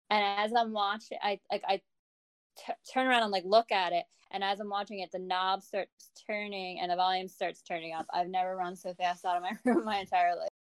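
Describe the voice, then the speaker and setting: A woman speaks fairly quickly in a plain, everyday voice at medium pitch, with fairly even intonation and a dry, close sound with no echo. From New Jersey. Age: 30s. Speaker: nurse. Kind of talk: storytelling.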